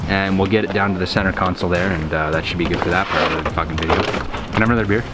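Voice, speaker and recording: Fairly even intonation comes at a very fast pace, with noticeable background noise and audible room echo. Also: man, very deep, low pitch for a man. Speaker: car tuning hobbyist. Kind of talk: DIY install tutorial. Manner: casual.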